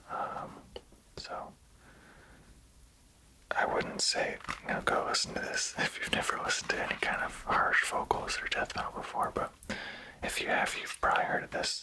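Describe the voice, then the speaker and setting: A man whispers at a moderate pace with long, frequent pauses over noticeable background noise. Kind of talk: ASMR whisper ramble. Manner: casual, rambling.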